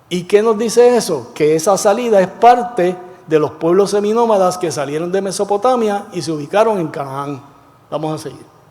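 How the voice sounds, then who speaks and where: A man with a high voice talks at a moderate pace with lively intonation. Noticeable background noise is present. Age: 70s. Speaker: Bible class teacher, former pastor. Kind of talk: Bible study class. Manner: conversational, question-and-answer with class.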